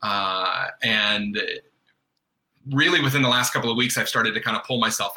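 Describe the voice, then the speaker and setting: A man with an American accent speaks at a fairly quick pace, his medium pitch showing ordinary variation. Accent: faint Southern, occasionally surfaces. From US South, North Carolina. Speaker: guest, father and artist. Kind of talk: casual chat.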